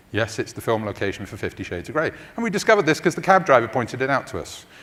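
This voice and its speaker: Here a man speaks with a London accent. His pace is very fast. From London, England. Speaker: tech company research executive. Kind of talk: conference talk.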